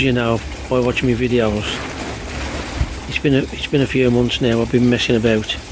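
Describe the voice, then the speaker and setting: Noticeable noise fills the background as a man rattles along at a very fast pace. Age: 60s. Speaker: koi pond hobbyist vlogger. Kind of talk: casual video diary. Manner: informal, conversational.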